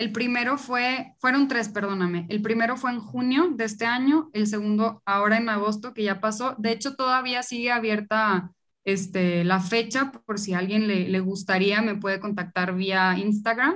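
A fairly high-pitched woman with a slight Monterrey accent, ordinary pitch variation and hardly any pauses. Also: moderate pace. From Monterrey, Mexico. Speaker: food entrepreneur. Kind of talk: casual interview.

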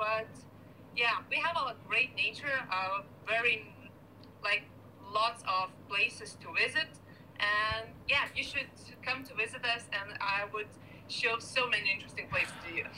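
A woman with a Lithuanian accent and a fairly high pitch speaks at a fairly slow pace with long, frequent pauses. Her pitch varies in an ordinary way over noticeable background noise. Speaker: beach volleyball player. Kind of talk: casual interview chat. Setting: video call.

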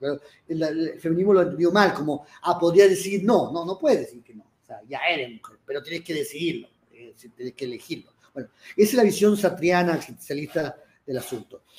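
Talking fairly quickly, a man with a high voice shows ordinary pitch variation and big swings in loudness. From Chile. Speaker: writer and columnist. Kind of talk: live panel discussion. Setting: stage with audience.

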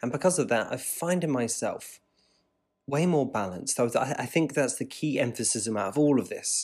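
On a very clean recording with a silent background, a man with a West Country accent talks at a moderate pace with ordinary pitch variation. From Devon, England. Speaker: podcast host. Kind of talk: solo podcast monologue.

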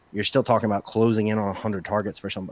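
A man's fairly low voice at a very fast pace, in a dry, close sound with no echo. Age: 40s. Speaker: fantasy football podcaster and writer. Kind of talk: casual chat.

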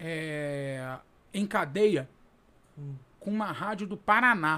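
Raised and projected, a man's bright, sharp voice moves with lively intonation at a very slow pace. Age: 30s. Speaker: radio sports reporter. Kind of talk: casual interview chat.

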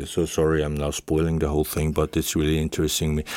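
This man's very deep, low voice has a dark, mellow tone and a German accent. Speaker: head of school department. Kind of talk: interview. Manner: halting, many fillers.

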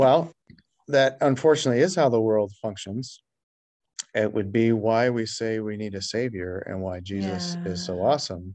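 Speaking at a moderate pace, a man with a normal speaking voice has a fairly low pitch and ordinary pitch variation. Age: 40s. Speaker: pastor. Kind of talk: casual chat.

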